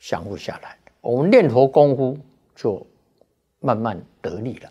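A man speaking at a fairly slow pace in a dark, mellow tone against a quiet background. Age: 70s. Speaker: Buddhist monk; Buddhist monk teacher. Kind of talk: dharma talk. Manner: frequent filler particles. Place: studio. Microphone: lapel.

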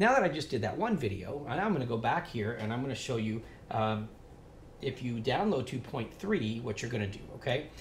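A man talks at a moderate pace, his voice carrying audible room echo amid light background noise. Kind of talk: tutorial. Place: shop.

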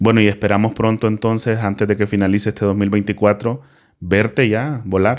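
Over a quiet background, a man talks at a moderate pace in a fairly low, monotone, flat voice with very even loudness. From Honduras. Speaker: podcast host. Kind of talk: casual interview. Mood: calm, warm. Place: studio. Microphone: studio mic.

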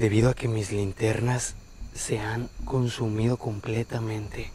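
A man with a Mexican accent, fairly slow and somewhat breathy, flat and monotone, dry with no echo, over noticeable background noise. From Mexico. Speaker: paranormal explorer youtuber. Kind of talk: on-location exploration vlog. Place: open country. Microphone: lapel.

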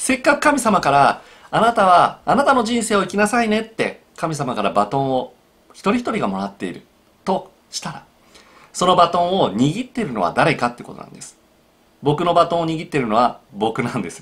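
A high-pitched man's voice, fairly quick, with very wide pitch swings and big swings in loudness. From Japan. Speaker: psychological counselor. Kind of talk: solo video talk. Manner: frequent filler hesitations. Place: home room.

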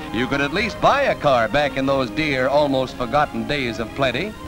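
A man's voice with music in the background. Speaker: newsreel narrator. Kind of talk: vintage newsreel narration, 1940s. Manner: fast, punchy, jocular.

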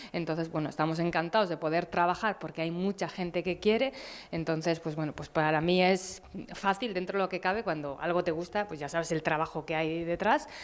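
A woman's fairly low voice moves fairly quickly, its pitch shifting in an ordinary way. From Basque Country, Abadiño (Biscay). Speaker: cycling coach and event organizer. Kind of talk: interview. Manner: halting. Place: studio. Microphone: handheld.

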